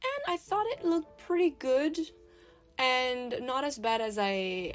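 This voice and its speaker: A woman with a French accent speaks in a high voice. Her pace is very slow. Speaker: art youtuber. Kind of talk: casual voiceover narration.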